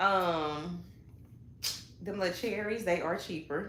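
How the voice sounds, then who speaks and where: A woman's medium-pitched voice with ordinary pitch variation and a Southern accent, in a room with audible echo. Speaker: hairstylist and salon owner. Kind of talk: casual chat. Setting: livestream.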